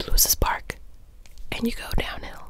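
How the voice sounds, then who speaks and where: Whispering, a woman keeps to a moderate pace. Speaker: ASMR creator. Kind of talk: ASMR film talk, casual chatty commentary. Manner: whispered, soft-spoken. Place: home room. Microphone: studio mic.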